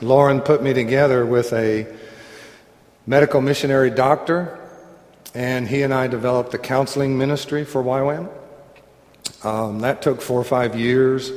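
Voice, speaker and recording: A man with a Southern US accent at medium pitch, fairly even intonation, long, frequent pauses and noticeable background noise. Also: moderate pace. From US South. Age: 60s. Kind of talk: sermon-style Bible teaching. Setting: room with live audience, microphone. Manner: jovial, laughs often and teases.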